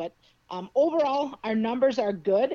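This woman's voice has a dark, mellow tone. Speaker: school athletic director. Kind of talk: radio interview answers. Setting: phone call.

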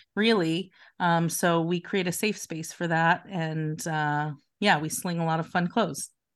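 A woman with an American accent speaks in an ordinary speaking voice at a fairly low pitch. Her intonation is fairly even, and the background is quiet. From Philadelphia. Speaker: boutique owner. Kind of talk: interview.

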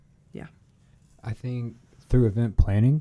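A man's voice with an American accent, dark, mellow tone and fairly even intonation. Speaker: student events team member. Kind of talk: casual chat.

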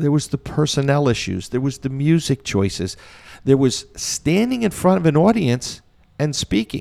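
This voice, with an American accent and a dark, mellow tone, moves at a moderate pace with very wide pitch swings, recorded very cleanly against a silent background. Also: man, fairly high pitch for a man. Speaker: community band conductor. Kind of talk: interview, reminiscing.

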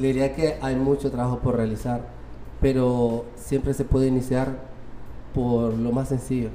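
A man with a Honduran accent speaks at a medium pitch and a fairly slow pace. His intonation is monotone and flat, with noticeable background noise. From Honduras, Tegucigalpa. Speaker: robotics coach at a children's center. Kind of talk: interview.

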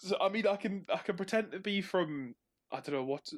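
Playful in tone, a man speaks with a Northumbrian accent and ordinary pitch variation, his sound dry and close with no echo. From northern England, Northumberland. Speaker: co-host. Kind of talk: casual chat about video games. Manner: joking, playful.

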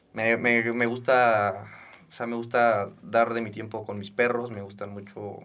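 Amid noticeable background noise, a man talks at medium pitch and a fairly slow pace with fairly even intonation. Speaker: podcast host, student. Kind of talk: casual chat.

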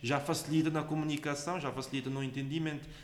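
Someone speaks at a fairly quick pace in a flat monotone with a Cape Verdean accent. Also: man. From Cape Verde, Santo Antão island. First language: Cape Verdean Creole (speaking Portuguese). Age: 20s. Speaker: agronomy student. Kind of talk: interview. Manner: halting, with frequent repetitions.

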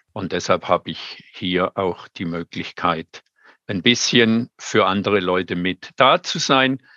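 A man's bright, sharp voice at a fairly low pitch and very slow pace, with ordinary pitch variation, a dry, close sound with no echo and a quiet background. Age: 70s. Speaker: master gardener and compost advisor. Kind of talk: webinar talk.

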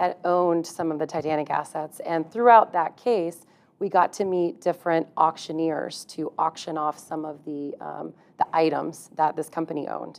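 At a moderate pace, a woman talks in an ordinary speaking voice. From Texas. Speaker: employment lawyer. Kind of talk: interview conversation.

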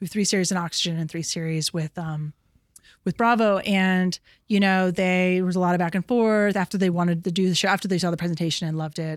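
A woman with an American accent talks at a very fast pace, medium in pitch and with fairly even intonation. The sound is dry and close with no echo, in a very clean recording with a silent background. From New York City. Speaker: TV production company executive. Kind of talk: casual interview chat. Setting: her office.

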